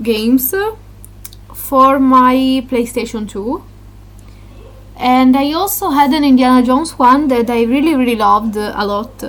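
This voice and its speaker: With a non-native accent, a woman speaks at a high pitch and a fairly slow pace, with ordinary pitch variation, long and frequent pauses, and noticeable background noise. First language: Italian. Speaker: gaming YouTuber. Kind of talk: casual vlog talk. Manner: halting, many fillers.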